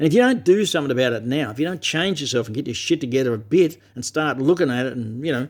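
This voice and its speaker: With an Australian accent, a man talks at a very fast pace with hardly any pauses, lively intonation and a fairly high pitch. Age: 60s. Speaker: vlogger. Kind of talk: personal monologue to camera. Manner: emphatic, heavy swearing; halting with repetitions.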